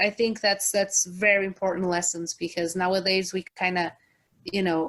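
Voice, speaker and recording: A woman speaks at a medium pitch. Her intonation stays monotone and flat. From outside the US. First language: not English. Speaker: podcast host. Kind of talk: casual chat.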